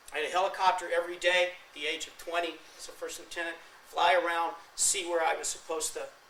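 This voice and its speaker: A man with a high pitch and an American accent talks at a very fast pace in a monotone, flat intonation, his loudness swinging widely. Noticeable background noise and audible room echo fill the recording. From California. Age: 50s. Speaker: war veteran. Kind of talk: lecture.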